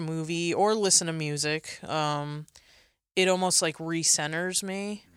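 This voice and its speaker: Against a silent background in a very clean recording, a woman with a fairly low pitch speaks at a fairly slow pace with monotone, flat intonation. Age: 30s. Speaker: photographer. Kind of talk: interview. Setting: studio.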